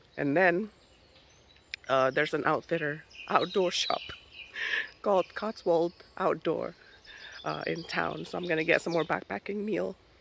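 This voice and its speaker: Speech at a moderate pace, broken by long and frequent pauses, over noticeable background noise. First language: not English. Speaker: hiking vlogger. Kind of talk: vlog narration. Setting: outdoors.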